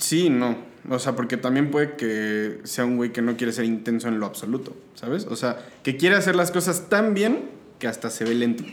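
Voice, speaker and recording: This man has a plain, everyday voice at medium pitch. His intonation is lively and his pace moderate. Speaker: podcast guest. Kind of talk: casual chat. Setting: home studio.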